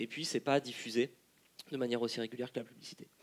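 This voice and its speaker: A man's medium-pitched voice comes through at a fairly quick clip. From France, Lyon. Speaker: political science researcher. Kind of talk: panel discussion. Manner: halting.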